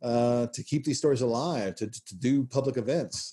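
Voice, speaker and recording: Speaking at a fairly quick pace, a man with an American accent has a medium pitch and a dark, mellow tone. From US South, Nashville. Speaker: history professor. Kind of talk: interview. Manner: halting, many fillers.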